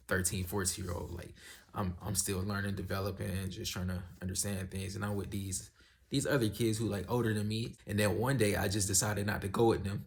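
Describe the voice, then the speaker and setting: A man speaks at a fairly quick pace, somewhat breathy and fairly low in pitch. His intonation stays fairly even. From US South. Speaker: YouTuber giving life advice. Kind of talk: casual vlog monologue. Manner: casual, conversational.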